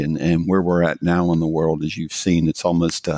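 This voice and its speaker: The sound is dry and close with no echo. The recording is very clean, with a silent background. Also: man. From US South, rural mountains of Virginia. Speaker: tech company CEO. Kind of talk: podcast interview. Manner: halting, many fillers.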